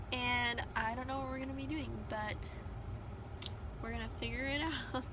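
A woman is heard over noticeable background noise. The sound is dry, with no echo. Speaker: vlogger. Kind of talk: casual vlog chat. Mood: cheerful, relaxed. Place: car. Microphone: phone near.

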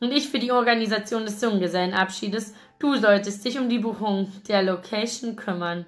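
The clip features a natural reading voice.

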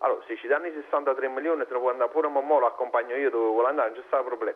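The speaker is a man with a Neapolitan accent. His pitch sits fairly high. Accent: Neapolitan Italian. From Italy. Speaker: caller, football fan; caller. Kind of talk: casual chat. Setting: phone call. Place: studio. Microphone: lapel.

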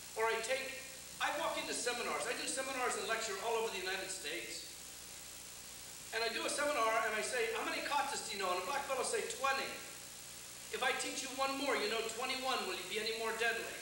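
A man speaks very fast in a raised, projected voice, with audible room echo and noticeable background noise. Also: ordinary pitch variation. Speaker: martial arts instructor. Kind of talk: lecture. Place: hall.

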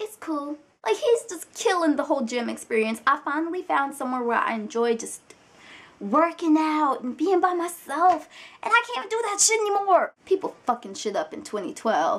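Animated in tone, a woman speaks at a moderate pace in a high pitch with very wide pitch swings. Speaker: vlogger. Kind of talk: angry rant; casual vlog. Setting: video blog, alone on camera. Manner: animated, indignant, sassy, profane. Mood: annoyed, exasperated. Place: home room. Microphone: webcam.

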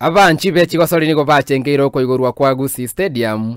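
A man speaks at a fast pace with a clear, smooth tone, medium pitch, and fairly even intonation.

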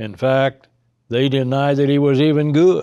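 The recording has a quiet background. Over it, a man's voice comes through with a dark, mellow tone. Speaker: Bible teacher. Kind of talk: lecture. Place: studio.

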